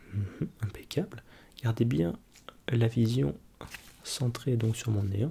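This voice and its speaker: Soft-spoken and somewhat breathy, a man with a dark, mellow tone and medium pitch talks at a very slow pace with long, frequent pauses, lively intonation and very even loudness. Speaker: ASMR creator playing an ophthalmologist. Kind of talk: ASMR role-play eye exam, soft spoken.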